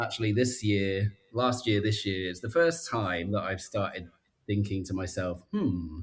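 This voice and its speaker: A somewhat breathy voice with a strong British accent speaks at a fairly slow pace, with ordinary pitch variation. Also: man, fairly low pitch for a man. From southern England, Reading. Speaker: life coach. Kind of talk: casual chat.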